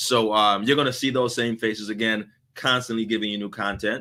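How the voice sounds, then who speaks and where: In a very clean recording with a silent background, a man speaks in an animated, bright, sharp tone. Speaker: live show host, customer service expert. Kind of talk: live stream Q&A with viewer comments.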